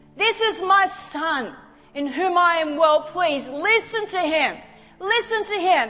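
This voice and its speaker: A woman talks fairly slowly, her intonation lively, while noticeable background noise plays behind her. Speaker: preacher. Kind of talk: sermon. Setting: church with live audience. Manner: animated, fervent.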